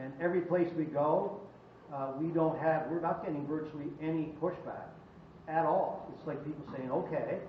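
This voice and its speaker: Amid audible room echo, a man with a fairly high pitch speaks at a moderate pace in a monotone, flat way, his loudness swinging widely. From Cape Breton, Nova Scotia. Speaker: political organizer. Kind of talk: town hall speech. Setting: fire hall meeting with audience.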